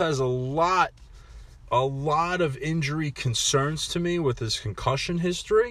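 A man's high-pitched voice at a fairly slow pace. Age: 20s. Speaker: sports podcast host. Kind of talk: solo sports podcast monologue. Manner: casual, conversational.

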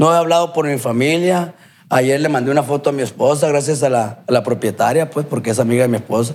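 A man with a fairly high pitch moves at a fairly quick pace, using an ordinary speaking voice and ordinary pitch variation. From Culiacán, Sinaloa, Mexico. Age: 30s. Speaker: recovering addict, former amateur footballer. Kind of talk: testimony.

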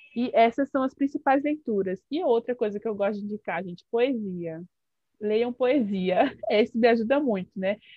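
A woman speaks in a normal speaking voice, fairly high in pitch, at a moderate pace with ordinary pitch variation. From Brasília, Brazil. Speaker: psychologist. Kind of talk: radio interview.

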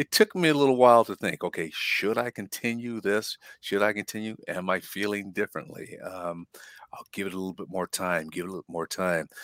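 Here is an ordinary speaking voice: a man with a fairly low pitch and ordinary pitch variation talks at a fairly quick pace, with big swings in loudness in a dry, close sound with no echo. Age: 60s. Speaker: health podcast co-host. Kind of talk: casual chat.

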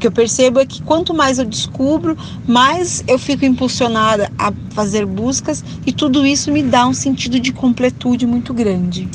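A woman's high-pitched voice at a moderate pace, over noticeable background noise. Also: ordinary pitch variation. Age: 30s. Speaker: culinary culture entrepreneur.

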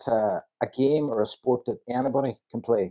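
A man speaks with an Irish accent. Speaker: sports league official. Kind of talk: interview.

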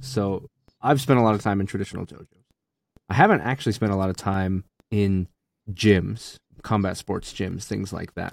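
Captured in a very clean recording with a silent background, a man with a fairly low pitch and ordinary pitch variation speaks at a moderate pace, with big swings in loudness and long, frequent pauses. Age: 30s. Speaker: martial arts instructor and podcast host. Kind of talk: casual chat.

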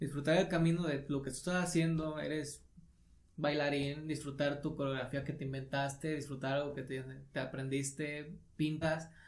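A man's fairly high, somewhat breathy voice carries an audible room echo. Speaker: podcast co-host, video creator. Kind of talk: casual chat.

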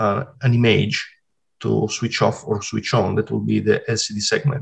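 A man with an Italian accent speaks at a moderate pace and medium pitch, showing vocal fry and ordinary pitch variation. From Italy (Sardinia). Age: 40s. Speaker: retro game simulator programmer. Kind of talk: interview. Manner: halting.

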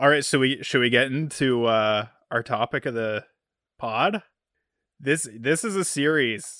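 A man with a bright, sharp tone speaks with long, frequent pauses. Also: medium pitch for a man, ordinary pitch variation, fairly slow pace. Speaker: podcast co-host, new father. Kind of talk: casual chat between brothers. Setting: video call recording.

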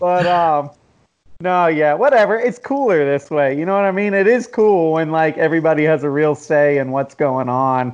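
In a plain, everyday voice with an American accent, a man speaks at a moderate pace and fairly high pitch with lively intonation. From US Southeast, Jacksonville and Atlanta. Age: 40s. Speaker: magazine founder and podcast host. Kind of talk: casual chat.

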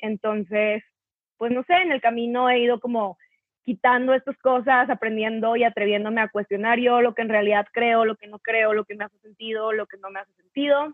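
A woman speaks at a fairly quick pace in a plain, everyday voice, fairly high in pitch, with fairly even intonation. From northern Mexico, Torreón. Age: 20s. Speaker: content creator. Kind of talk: casual chat.

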